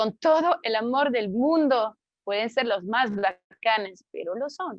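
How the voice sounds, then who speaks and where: In a French accent, a woman speaks very slowly in a fairly high voice with lively intonation. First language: French (speaking Spanish). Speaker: author. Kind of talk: book presentation interview. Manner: halting, many fillers.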